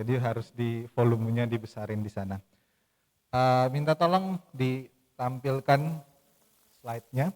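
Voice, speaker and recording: At a fairly slow pace, a man of medium pitch speaks with ordinary pitch variation in a dry, close sound with no echo. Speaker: church liturgy speaker. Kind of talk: lecture. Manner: loud.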